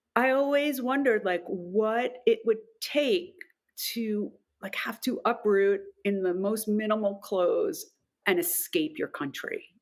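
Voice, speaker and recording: A woman speaks in a normal speaking voice at a fairly high pitch. Her intonation is lively and her pace fairly slow. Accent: American. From New York. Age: 50s. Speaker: actor and public speaking coach. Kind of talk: casual chat.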